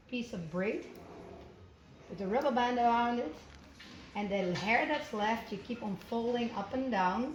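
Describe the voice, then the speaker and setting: A woman with a non-native accent speaks at a fairly high pitch with ordinary pitch variation, over noticeable background noise and audible room echo. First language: not English. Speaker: showjumper. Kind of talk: tutorial. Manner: halting.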